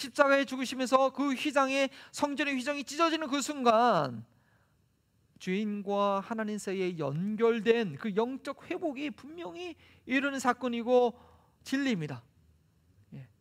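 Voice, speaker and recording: Against a silent background in a very clean recording, a man with an extremely high pitch speaks at a fairly slow pace, with lively intonation, big swings in loudness, and long, frequent pauses. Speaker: pastor. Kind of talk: sermon.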